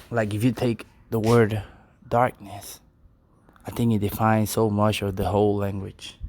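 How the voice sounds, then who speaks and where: A man with a non-native accent talks at a moderate pace and fairly low pitch, his intonation monotone and flat, with long, frequent pauses. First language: Spanish. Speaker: poet. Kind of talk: casual monologue; spoken word poetry reading. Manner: halting.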